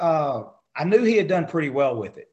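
A man talks with a lively intonation. There is a somewhat breathy quality to his voice. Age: 50s. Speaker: small business owner. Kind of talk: casual interview. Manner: animated.

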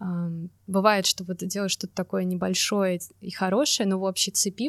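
A woman with a plain, everyday voice talks at a medium pitch with fairly even intonation, recorded very cleanly against a silent background. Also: dry, close sound with no echo. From Russia, Saint Petersburg. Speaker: environmental designer and urban planner. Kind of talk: casual interview.

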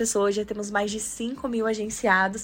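A woman's fairly high, bright, sharp voice, fairly slow and monotone in its flat intonation. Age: 20s. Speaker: digital marketing agency owner, podcast host. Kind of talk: casual monologue to listeners.

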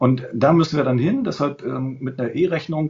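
Fairly quick, somewhat breathy speech with ordinary pitch variation. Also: man. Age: 50s. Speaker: tax adviser, association president. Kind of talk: expert interview.

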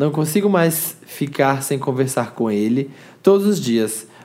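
A man's dark, mellow tone with a Brazilian accent. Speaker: podcast guest. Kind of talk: casual chat.

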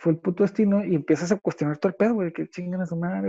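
A man speaks with a Mexican accent. His voice sits high. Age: 30s. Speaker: person living with psoriasis. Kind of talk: casual chat.

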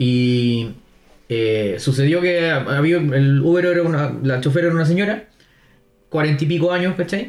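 A man with a Chilean accent, a fairly high pitch and lively intonation, at a moderate pace with very even loudness and audible room echo. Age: 30s. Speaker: podcast co-host. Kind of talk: casual chat.

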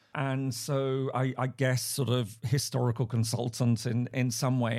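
Flat and monotone, a man with a medium pitch talks with an English accent. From England. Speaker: professor, conflict researcher. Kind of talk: interview. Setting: video call. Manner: halting, many repeated words.

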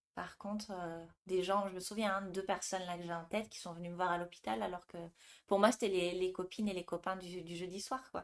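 A woman with an unremarkable speaking voice talks at a fairly quick pace, her medium pitch held in fairly even intonation. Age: 30s. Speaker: yoga teacher. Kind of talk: interview.

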